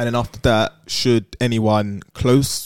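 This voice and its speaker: A man is heard in a very clean recording with a silent background. The sound is dry and close, without echo. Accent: British. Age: 20s. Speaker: podcast co-host. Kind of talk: casual chat.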